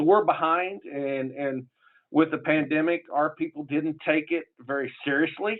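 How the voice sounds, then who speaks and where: A man talks at a fairly high pitch in a southern Illinois accent. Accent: southern Illinois accent, far from Chicago. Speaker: public health official. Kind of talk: conference panel talk. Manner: casual, halting with fillers.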